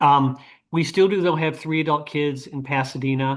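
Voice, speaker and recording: A man with an unremarkable speaking voice talks at a fairly quick pace and fairly high pitch. His intonation is fairly even, and the background is quiet. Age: 60s. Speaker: retired physician. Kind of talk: panel interview. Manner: conversational, with filler words.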